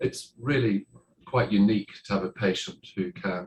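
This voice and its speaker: A man talks with an Irish accent. His pace is moderate. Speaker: heart surgeon. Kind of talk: conference talk. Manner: hesitant, many fillers.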